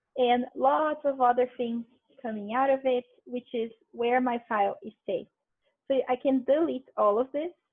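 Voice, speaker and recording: A woman with a Brazilian accent, high in pitch, at a moderate pace, with ordinary pitch variation. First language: Portuguese. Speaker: linguistics researcher presenting a workshop. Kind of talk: tutorial. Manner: casual.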